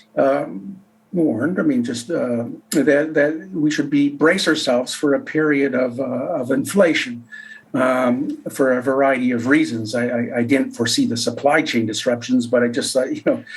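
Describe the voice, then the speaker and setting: Someone with a Canadian accent talks at a moderate pace over noticeable background noise. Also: man. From Canada. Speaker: economist. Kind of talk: interview.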